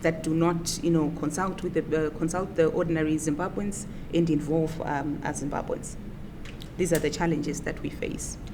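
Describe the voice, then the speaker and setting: A woman's very deep, low voice at a moderate pace, monotone and flat in intonation, with audible room echo and noticeable background noise. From Zimbabwe. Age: 30s. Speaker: opposition politician. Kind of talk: interview.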